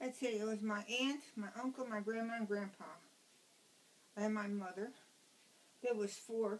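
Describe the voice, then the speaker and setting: Spoken at a moderate pace with an American accent, the voice holds a very even loudness and fairly even intonation, broken by long, frequent pauses over noticeable background noise. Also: woman, fairly high pitch for a woman. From Newark, New Jersey. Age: 60s. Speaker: interviewee recalling childhood. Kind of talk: casual interview at home. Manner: curt, blunt.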